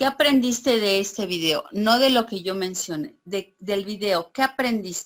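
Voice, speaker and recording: With a normal speaking voice, a woman talks at a fairly slow pace and medium pitch with ordinary pitch variation and hardly any pauses. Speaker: teacher. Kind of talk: online class.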